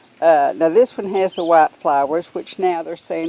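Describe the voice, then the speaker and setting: Noticeable background noise sits behind a woman speaking at a moderate pace. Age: 60s. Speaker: herbalist teacher. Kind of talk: tutorial. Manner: casual, hesitant with fillers.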